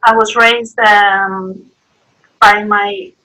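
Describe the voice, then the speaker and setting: A woman with a Greek accent speaks at a medium pitch in a bright, sharp tone. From Greece. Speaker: artist. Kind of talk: interview. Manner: halting.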